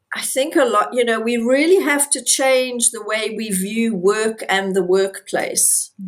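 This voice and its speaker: Over a silent background in a very clean recording, a woman talks at a fairly slow pace with a high pitch and very wide pitch swings. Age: 60s. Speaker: podcast co-host. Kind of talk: casual chat.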